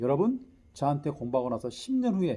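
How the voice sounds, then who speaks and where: Very fast and somewhat breathy, a man speaks in a fairly high, dark, mellow voice with very wide pitch swings. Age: 60s. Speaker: lecturer and teacher. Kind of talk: lecture.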